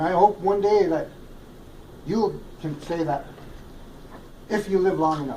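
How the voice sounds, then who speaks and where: A man talks at a high pitch and a fairly slow pace, with ordinary pitch variation. Long pauses come often. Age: 60s. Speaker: community member. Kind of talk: public comment.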